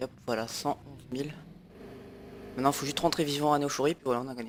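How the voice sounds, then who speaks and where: A man rattles along at a very fast pace, his intonation fairly even, with noticeable background noise behind him. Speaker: gaming video creator. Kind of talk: gameplay commentary. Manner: halting, many fillers.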